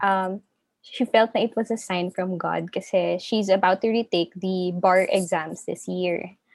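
In a very clean recording with a silent background and a dry, close sound with no echo, a woman with an ordinary speaking voice talks at a medium pitch and fairly slow pace with fairly even intonation. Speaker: candle entrepreneur. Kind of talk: interview.

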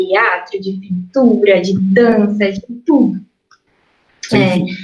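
A somewhat breathy woman's voice at medium pitch, very slow in pace. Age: 20s. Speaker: artist. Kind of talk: casual interview.

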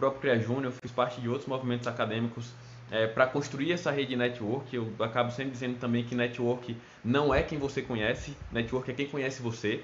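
Talking fairly quickly, this man has a medium pitch and a monotone, flat delivery. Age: 20s. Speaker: petroleum engineer. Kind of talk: recorded talk to students.

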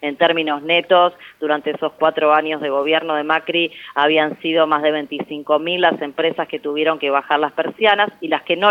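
A woman at a moderate pace with very deep, low pitch. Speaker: economist and national legislator. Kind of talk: interview.

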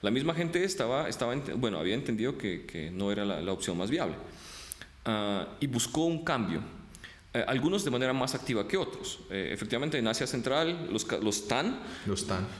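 Over noticeable background noise and audible room echo, a man at a medium pitch makes very wide pitch swings at a moderate pace. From Ukraine, moved to Colombia at 10. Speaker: international relations professor. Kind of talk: interview.

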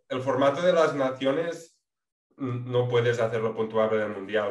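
Audible room echo surrounds a man talking at a fairly slow pace. His pitch is medium, with ordinary pitch variation. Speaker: podcast co-host, amateur rider. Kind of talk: casual chat.

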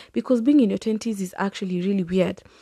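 A somewhat breathy voice with a dark, mellow tone moves at a fairly quick pace. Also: woman. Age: 20s. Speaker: podcast host. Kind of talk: solo casual monologue.

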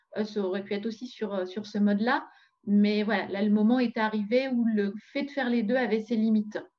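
A fairly high female voice, fairly quick in pace and fairly even in intonation. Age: 40s. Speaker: entrepreneur. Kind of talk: interview. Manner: halting.

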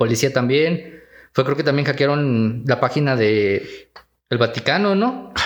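The man talks at a fairly slow rate. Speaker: podcast co-host. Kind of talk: casual chat. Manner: serious, newsreader-like.

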